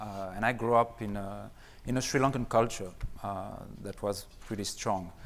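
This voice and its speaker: With a French accent, a man talks at a moderate pace and a fairly low pitch, with vocal fry, fairly even intonation, long, frequent pauses and big swings in loudness, and audible room echo around him. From France. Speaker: gemologist and company co-founder. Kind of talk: conference seminar talk.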